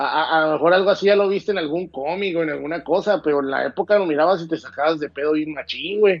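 The words run at a very fast pace with hardly any pauses and ordinary pitch variation. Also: man, high pitch for a man. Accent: Mexican. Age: 30s. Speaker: film commentator. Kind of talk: casual chat.

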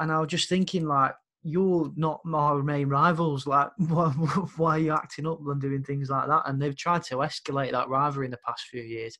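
A man with a Brummie accent speaks at a moderate pace with hardly any pauses. His pitch is fairly high, his tone bright and sharp, and his intonation fairly even. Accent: Brummie (Birmingham) English. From Birmingham, England. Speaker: podcast host and music promoter. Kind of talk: casual chat.

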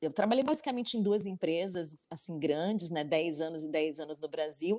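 A woman talks fairly quickly in an unremarkable speaking voice. Her pitch is fairly low with ordinary variation. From Brazil. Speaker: travel designer. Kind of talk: online panel talk.

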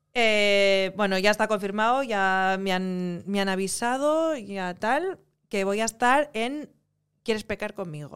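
A woman speaks very slowly at a medium pitch with ordinary pitch variation. The recording is very clean, with a silent background. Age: 30s. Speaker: actress. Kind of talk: casual interview chat.

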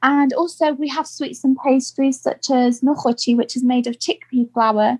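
The speaker has a British accent and goes at a fairly slow pace with ordinary pitch variation. The sound is dry and close, with no echo. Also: woman. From UK. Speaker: podcast guest. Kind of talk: casual interview.

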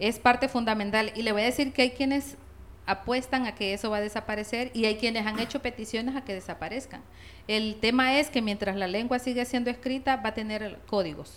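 A woman with a plain, everyday voice speaks at a fairly quick pace. Her pitch is fairly high and her intonation fairly even. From La Paz, Honduras. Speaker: linguist and Spanish teacher. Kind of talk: interview.

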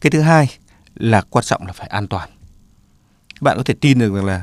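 This man has a normal speaking voice. His pitch varies in an ordinary way. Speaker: doctor. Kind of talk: radio health advice talk.

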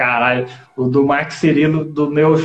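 A man speaks in a normal speaking voice. His pitch is fairly high, with ordinary variation. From Goiás, Brazil (Goiânia). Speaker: stand-up comedian and accordion player. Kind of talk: casual chat.

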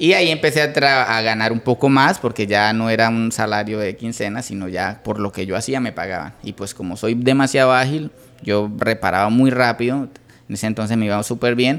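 A man with a plain, everyday voice, medium in pitch, talks at a fairly quick pace with ordinary pitch variation. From Colombia, Santander (Bucaramanga). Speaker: entrepreneur, electronics repair business owner. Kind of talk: interview.

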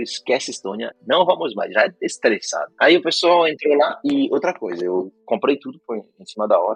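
A man talks at a moderate pace with hardly any pauses, his loudness swinging a lot. The sound is dry and close, with no echo. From Brazil (São Paulo state). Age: 20s. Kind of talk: casual chat.

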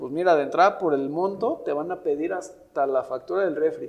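Here a man speaks with a high pitch and ordinary pitch variation. He goes at a fairly quick pace. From Mexico City. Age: 30s. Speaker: insurance and investment advisor. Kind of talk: casual interview.

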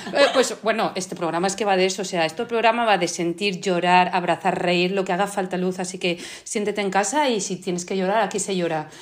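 The speech moves at a fairly quick pace with hardly any pauses and a fairly even intonation. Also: woman, medium pitch for a woman. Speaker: podcast host. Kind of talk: interview, casual conversation.

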